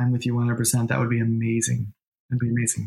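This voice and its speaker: A man with a medium-pitched, somewhat breathy voice speaks with an American accent. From New York. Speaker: medium and intuitive business coach. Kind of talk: casual interview chat.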